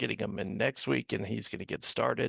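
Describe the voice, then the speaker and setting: A man is speaking. His voice is quiet. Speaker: state party representative. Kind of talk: committee meeting discussion. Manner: slow.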